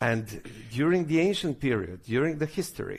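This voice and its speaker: With a Serbian accent, a man with a fairly high pitch speaks at a moderate pace on a very clean recording with a silent background. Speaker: government official. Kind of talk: conference speech. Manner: halting.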